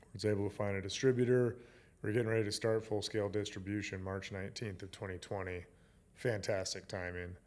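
Here a man talks at a very fast pace with a fairly low pitch. His intonation is monotone and flat. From Wyoming, US (Gillette). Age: 30s. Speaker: meadery founder. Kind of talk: casual chat. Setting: his meadery.

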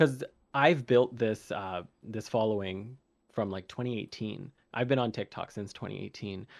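A man with an ordinary speaking voice talks at a moderate pace, his medium pitch showing ordinary variation, in a very clean recording with a silent background. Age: 20s. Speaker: content creator. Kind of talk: casual chat.

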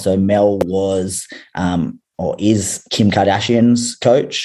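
A man speaks in a fairly low voice with a dark, mellow tone. His intonation stays fairly even. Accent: Australian. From Australia. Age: 30s. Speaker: fitness coach. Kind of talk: casual chat.

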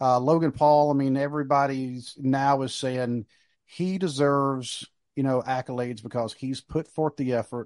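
This man has a plain, everyday voice with an American accent, medium in pitch and fairly even in intonation. The sound is dry and close, with no echo. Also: quiet background. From US South, North Carolina. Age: 50s. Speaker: wrestling podcast host, military veteran. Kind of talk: casual chat.

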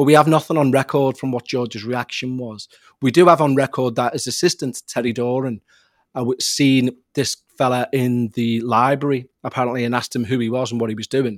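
In a Liverpool accent, a man talks at a fairly quick pace with a medium pitch and fairly even intonation. The very clean recording has a silent background and a dry, close sound with no echo. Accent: Liverpool (Scouse). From Liverpool, England. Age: 40s. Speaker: podcast host and paranormal investigator. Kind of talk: casual interview, storytelling.

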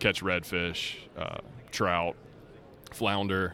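A man's very deep, low voice, very slow and monotone, with flat intonation. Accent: American. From Charlotte, North Carolina. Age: 30s. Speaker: turf colorant company representative. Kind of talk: casual chat. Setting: trade show booth.

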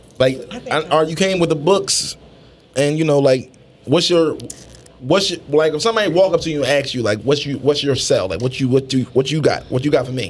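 Over noticeable background noise, a man with an American accent speaks at a fairly quick pace in a fairly high pitch, with ordinary pitch variation. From Philadelphia. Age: 30s. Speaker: podcast co-host. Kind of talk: casual chat. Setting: studio.

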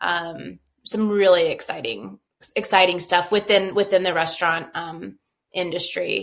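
Vocal fry colors a woman's fairly low voice. She speaks at a fairly slow pace with fairly even intonation. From New Mexico, Rio Rancho. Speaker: brewery co-owner and operations executive. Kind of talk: casual interview.

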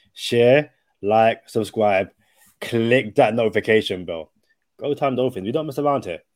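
The recording is very clean, with a silent background. The voice moves at a moderate pace with ordinary pitch variation. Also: man, medium pitch for a man. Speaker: podcast co-host. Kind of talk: casual chat.

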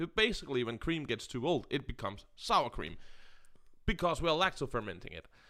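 A man talks at a fairly quick pace with a Danish accent and a fairly high pitch. His tone is bright and sharp, with vocal fry. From Denmark. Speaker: podcast co-host. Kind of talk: casual chat.

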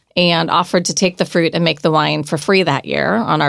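The voice has vocal fry and fairly even intonation. It moves at a very fast pace. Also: woman. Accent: American. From Oregon, US. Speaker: winery owner. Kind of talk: casual chat.

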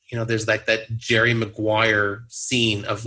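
A man with an American accent, fairly low-pitched, with a bright, sharp tone, monotone, flat intonation and a moderate pace. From Southern California. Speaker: blogger and poker media consultant. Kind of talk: casual interview chat. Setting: remote call.

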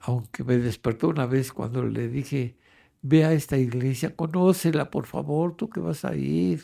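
On a very clean recording with a silent background, a man speaks at a fairly slow pace. His tone is dark and mellow, and his intonation is lively. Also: medium pitch for a man. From Mexico City. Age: 80s+. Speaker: retired grandfather, amateur painter. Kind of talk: life-story interview. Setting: at home.

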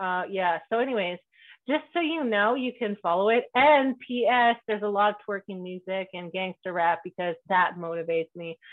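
A woman at a moderate pace, with lively intonation. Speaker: podcast host. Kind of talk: casual chat. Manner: animated.

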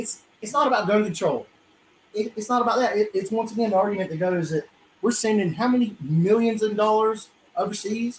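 With a Southern US accent, a man talks at a fairly quick pace in a high pitch, with ordinary pitch variation. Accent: Southern US (Georgia). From US South, South Georgia. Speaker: podcast co-host. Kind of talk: casual chat. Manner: animated.

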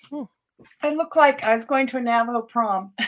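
A woman talks with a high pitch. Her intonation stays fairly even. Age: 70s. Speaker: doctor and author. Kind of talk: interview on paranormal radio show.

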